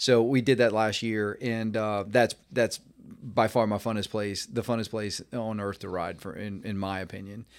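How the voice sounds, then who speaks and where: An unremarkable speaking voice, heard on a very clean recording with a silent background. The loudness swings widely, while the pace stays moderate and the intonation fairly even. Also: man, fairly low pitch for a man. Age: 50s. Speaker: mountain bike coach and academy founder. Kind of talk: casual interview.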